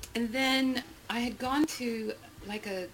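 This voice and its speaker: With an American accent, a woman talks amid noticeable background noise. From Texas. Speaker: photography representative and producer. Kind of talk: interview conversation. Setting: quiet room at a private club.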